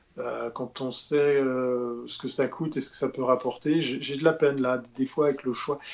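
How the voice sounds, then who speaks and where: This man talks at a fairly slow pace with a medium pitch, a flat, monotone delivery and hardly any pauses. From Switzerland. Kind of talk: casual chat.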